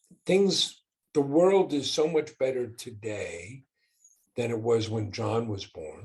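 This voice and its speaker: With lively intonation and big swings in loudness, a somewhat breathy man at a medium pitch talks at a very slow pace, leaving long, frequent pauses. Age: 60s. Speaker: business owner and father. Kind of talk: podcast interview.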